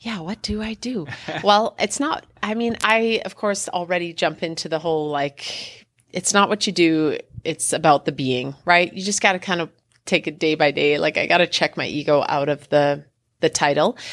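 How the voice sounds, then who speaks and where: With an ordinary speaking voice, a woman talks at a moderate pace in a fairly low pitch, in a very clean recording with a silent background. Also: ordinary pitch variation. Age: 30s. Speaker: school division wellness coordinator. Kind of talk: interview conversation.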